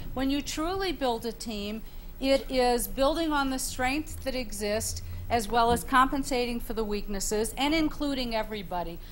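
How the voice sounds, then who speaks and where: Audible room echo surrounds a woman speaking at a moderate pace in a high voice with ordinary pitch variation. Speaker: panelist, leadership professor. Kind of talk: panel discussion.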